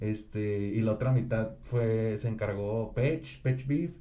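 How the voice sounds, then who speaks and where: The room echo is audible. A man speaks in a dark, mellow tone. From Monterrey, Mexico. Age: 20s. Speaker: rapper. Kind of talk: casual chat.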